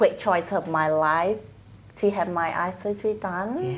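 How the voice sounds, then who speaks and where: The speaker talks very slowly in a Vietnamese accent, with ordinary pitch variation. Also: woman. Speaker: trust accountant. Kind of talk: casual interview.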